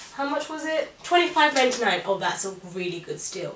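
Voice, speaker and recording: A woman speaks in an animated tone with lively intonation, with audible room echo and noticeable background noise. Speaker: fashion vlogger. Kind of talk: try-on haul. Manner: chatty, animated.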